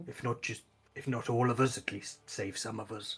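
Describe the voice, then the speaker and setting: A raspy, put-on character voice from a man at medium pitch, weary in tone, with fairly even intonation and a moderate pace. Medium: actual play. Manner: halting, weary.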